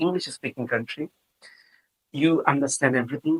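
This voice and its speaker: With a Bengali accent and ordinary pitch variation, a man is heard in a dry, close sound with no echo. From Bangladesh, Chittagong. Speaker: professor of biotechnology. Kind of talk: interview. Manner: hesitant, many fillers.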